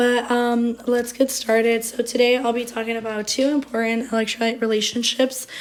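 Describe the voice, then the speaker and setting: Over noticeable background noise, a woman with a high pitch speaks at a moderate pace in a monotone, flat intonation with hardly any pauses. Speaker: nursing student. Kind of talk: class presentation.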